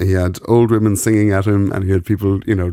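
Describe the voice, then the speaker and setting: This man has a very deep, low pitch and an Irish accent. He talks at a very fast pace in a monotone, flat delivery. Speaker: radio presenter. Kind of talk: casual chat. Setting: studio.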